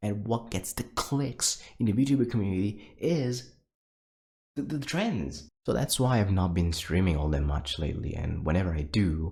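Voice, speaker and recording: A man whispers quietly. His voice is somewhat breathy. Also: moderate pace. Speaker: VTuber streamer. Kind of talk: casual monologue to viewers. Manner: whispering; quiet, low energy.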